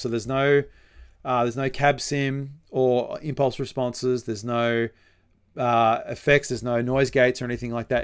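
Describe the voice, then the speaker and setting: With an Australian accent, a man speaks at a medium pitch on a very clean recording with a silent background. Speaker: metal musician and songwriter. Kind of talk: live stream tutorial chat. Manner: hesitant, many fillers.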